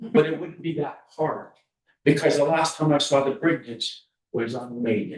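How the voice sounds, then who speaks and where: A man at a fairly high pitch, somewhat breathy, at a moderate pace with ordinary pitch variation and big swings in loudness. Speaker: community member. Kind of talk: community meeting remarks.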